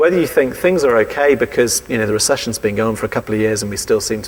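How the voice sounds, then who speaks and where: Over noticeable background noise, a man speaks with an English accent. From England. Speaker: preacher. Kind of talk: sermon.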